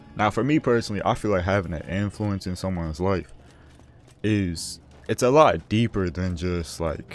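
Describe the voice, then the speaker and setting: With music in the background, a man talks at a moderate pace in a very deep, low pitch. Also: ordinary pitch variation. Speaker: gaming commentary vlogger. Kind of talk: casual unscripted advice talk over gameplay. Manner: halting, self-correcting.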